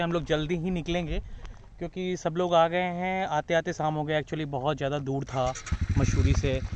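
A man at a moderate pace, dry sound with no echo. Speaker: travel vlogger. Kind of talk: casual vlog chat. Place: waterside. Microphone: phone near.

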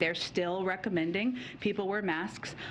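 Medium pitch from a female speaker, with noticeable noise in the background. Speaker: TV news reporter. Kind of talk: TV news report, polished broadcast package delivery. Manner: brisk, clear, formal and even-paced.

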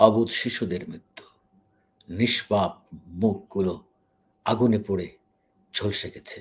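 Somewhat breathy and fairly even in intonation, this man's voice sits at a fairly low pitch. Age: 50s. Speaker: YouTube news commentator. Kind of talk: emotional news commentary. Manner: halting.

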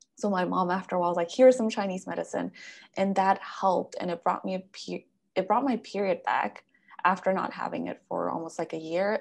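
A woman speaks at a very fast pace. Her voice has vocal fry. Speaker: podcast host and wellness coach. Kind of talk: casual interview. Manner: enthusiastic. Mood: animated, personal storytelling. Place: home room. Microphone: video call.

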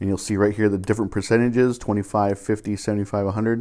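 A dark, mellow tone over a quiet background. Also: man. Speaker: DIY car repair channel host. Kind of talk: tutorial. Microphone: phone near.

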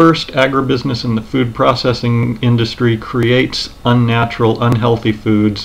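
With hardly any pauses, a man delivers his words at a moderate pace in monotone, flat intonation. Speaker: commentary video creator. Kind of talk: commentary narration to camera. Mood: earnest, serious. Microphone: webcam.

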